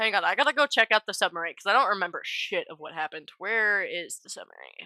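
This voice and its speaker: Against a silent background in a very clean recording, a woman talks very fast at a medium pitch, her tone bright and sharp, her intonation lively and her loudness swinging widely. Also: dry, close sound with no echo. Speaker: tabletop game player and streamer. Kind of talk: casual chat.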